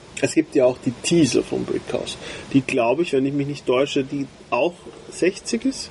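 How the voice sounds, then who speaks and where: A fairly high-pitched man with ordinary pitch variation, over noticeable background noise. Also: moderate pace. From Austria. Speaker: cigar podcast co-host. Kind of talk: casual chat.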